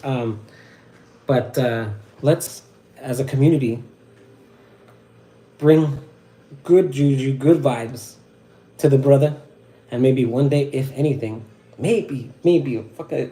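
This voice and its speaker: A man with an American accent speaks at a fairly slow pace in a dark, mellow tone. His voice is somewhat breathy, with fairly even intonation. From Southern California. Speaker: wet-shaving livestreamer. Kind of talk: casual livestream talk. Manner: halting, stuttering.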